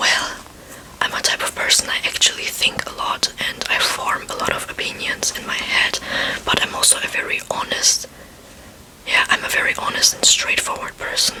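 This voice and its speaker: Whispering with a non-native accent at a moderate pace, over noticeable background noise. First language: not English. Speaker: ASMR creator. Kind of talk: talking ASMR chat. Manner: soft-spoken.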